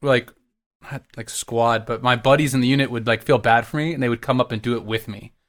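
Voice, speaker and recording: A man with an American accent talks at a fairly quick pace in a normal speaking voice at medium pitch, recorded very cleanly against a silent background. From Texas. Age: 30s. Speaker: orchestral trombonist. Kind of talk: casual chat.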